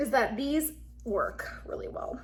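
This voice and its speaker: There is audible room echo. The talking goes at a very slow pace. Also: woman. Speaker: beauty vlogger. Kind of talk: casual vlog talk. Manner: slurring, halting.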